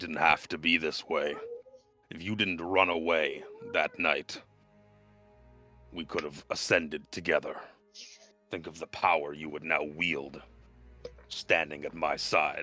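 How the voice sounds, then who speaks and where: In a put-on character voice, the speaker delivers lines in a monotone, flat intonation with long, frequent pauses while faint music plays in the background. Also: man, very deep, low pitch for a man, moderate pace. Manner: remorseful, sorrowful, regretful.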